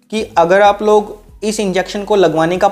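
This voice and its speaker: A man's monotone, flat delivery at a moderate pace, with faint music in the background. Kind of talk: health explainer talking to camera. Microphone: lapel.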